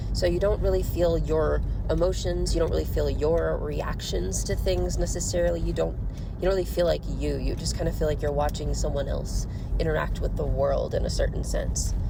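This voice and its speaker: A woman with an American accent talks at a moderate pace, her loudness very even throughout. Room echo is audible, and there is noticeable background noise. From US Midwest, Missouri. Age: 20s. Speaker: podcaster. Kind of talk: casual monologue. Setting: in a car. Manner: rambling, hesitant with fillers.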